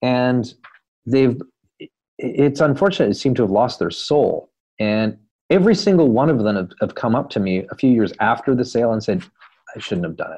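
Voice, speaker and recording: A man with a Canadian accent, medium pitch, dark, mellow tone, lively intonation and a fairly quick pace. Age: 50s. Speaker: entrepreneur and author. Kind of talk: interview conversation.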